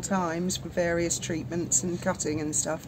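A woman at a fairly quick pace amid noticeable background noise. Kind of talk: casual vlog chat. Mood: relaxed, matter-of-fact. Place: boat. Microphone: phone near.

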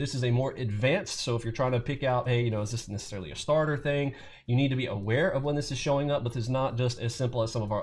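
The speech runs at a very fast pace with hardly any pauses and ordinary pitch variation. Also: man. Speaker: trading educator. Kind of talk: tutorial.

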